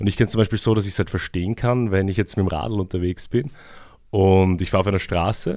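The speech comes at a very fast pace with ordinary pitch variation, in a very clean recording with a silent background. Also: man. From Vienna, Austria. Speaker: community radio host. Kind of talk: radio interview. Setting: radio studio.

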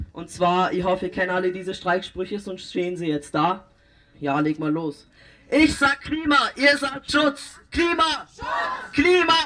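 Over crowd noise in the background, a man raises and projects his high-pitched voice at a fairly slow pace, with very wide pitch swings. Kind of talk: rally speech. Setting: outdoor rally with crowd.

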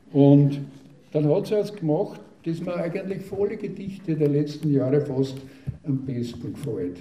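Lively intonation at a moderate pace, with noticeable background noise and audible room echo. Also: man. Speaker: dialect poet. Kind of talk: talk and poetry reading.

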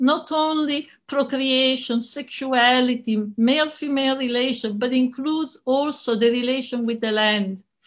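Over a quiet background, a woman speaks with an Italian accent. Her pitch is high. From Italy. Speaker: feminist scholar and activist. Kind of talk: conference talk. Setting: online conference recording.

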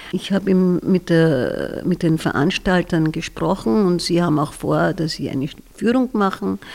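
In a fairly low voice with vocal fry, a woman speaks at a fairly slow pace with ordinary pitch variation. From Austria, southern Styria (Bad Radkersburg). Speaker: retired kindergarten teacher. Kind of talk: interview.

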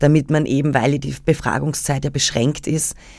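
The background is silent on this very clean recording. It carries a woman's very deep, low voice. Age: 30s. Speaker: journalist. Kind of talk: radio interview.

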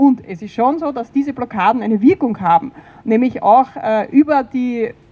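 Noticeable background noise sits behind a woman with a high pitch. She talks at a moderate pace with ordinary pitch variation. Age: 50s. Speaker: environmental activist. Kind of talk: panel discussion.

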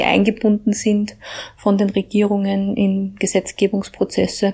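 A woman talks here. Her voice sits at a medium pitch. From Upper Austria, Mühlviertel (Hagenberg). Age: 40s. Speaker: EU policy researcher. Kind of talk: personal account.

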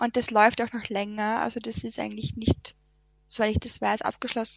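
A woman speaks with a Lower Austrian accent, her voice dry and close with no echo. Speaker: environmental volunteer. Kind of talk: radio interview. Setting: radio studio.

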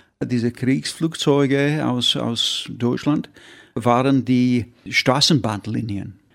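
A man speaks at a medium pitch with fairly even intonation in a very clean recording with a silent background. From northern England (Yorkshire, Derbyshire). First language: English (speaking German). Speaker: painter. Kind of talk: interview. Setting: studio. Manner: halting.

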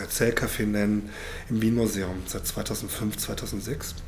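A man speaks at medium pitch with fairly even intonation. Audible room echo and noticeable background noise are present. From Germany, North Rhine-Westphalia. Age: 50s. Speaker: historian and storytelling-circle moderator. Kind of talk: moderated storytelling circle and interview. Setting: public library event room.

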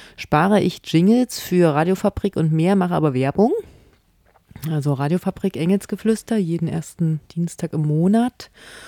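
A woman talks at a fairly slow pace in a fairly low voice, the sound dry and close with no echo on a very clean recording with a silent background. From not from the local region. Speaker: community radio host. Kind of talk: casual satirical studio chat. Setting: radio studio.

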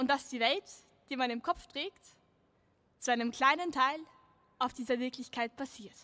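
A woman's high voice comes through dry and close with no echo. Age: young. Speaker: slam poet. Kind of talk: poetry performance. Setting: outdoor stage with audience.

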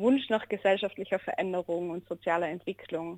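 A woman with an ordinary speaking voice talks at a moderate pace, her pitch medium and her intonation fairly even. The sound is dry and close with no echo, over a quiet background. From Austria, Innsbruck (Tyrol). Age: 20s. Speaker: social worker. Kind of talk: radio interview.

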